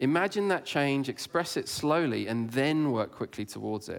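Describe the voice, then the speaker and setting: A man with an English accent, medium in pitch, with lively intonation at a moderate pace, on a very clean recording with a silent background. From England. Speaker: conference speaker. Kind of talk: conference talk.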